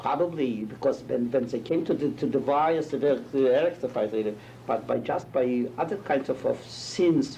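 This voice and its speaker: Set against noticeable background noise, a man's medium-pitched voice carries fairly even intonation. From Poland. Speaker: Holocaust survivor, rabbi. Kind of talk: testimony interview. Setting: interview with students. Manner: halting, searching for words.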